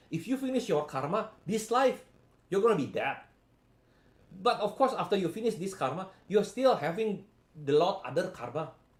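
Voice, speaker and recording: A man with a high voice speaks with lively intonation. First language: not English. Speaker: spiritual healing coach. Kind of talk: live stream talk. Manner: halting.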